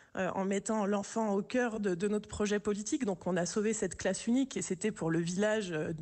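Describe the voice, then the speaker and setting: A woman at a moderate pace with hardly any pauses, ordinary pitch variation and very even loudness, over a quiet background. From urban France. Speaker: village mayor. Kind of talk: radio interview. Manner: hesitant, many repetitions. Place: studio.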